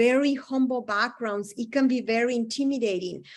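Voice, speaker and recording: Against a quiet background, a woman with a high pitch speaks at a moderate pace with ordinary pitch variation. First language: not English. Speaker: psychologist presenting to health providers. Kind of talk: lecture.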